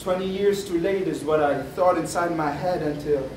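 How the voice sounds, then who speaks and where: Noticeable background noise runs under the speech. The pace is moderate and the intonation fairly even. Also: man. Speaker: spoken word poet. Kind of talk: spoken word poetry performance to a live audience. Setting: live student event. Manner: rhythmic, rhyming, performed first-person narrative.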